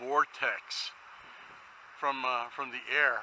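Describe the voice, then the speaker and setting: Noticeable background noise is present. The voice belongs to a man. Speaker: drone hobbyist. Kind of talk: casual hobby talk to camera. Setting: outdoors.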